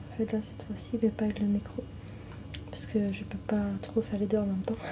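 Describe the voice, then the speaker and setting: Someone whispers softly at a fairly quick pace while noticeable background noise runs underneath. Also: woman. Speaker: ASMR content creator. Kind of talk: casual talk to camera, product showcase. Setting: speaking into camcorder instead of microphone. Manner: soft-spoken, whispered.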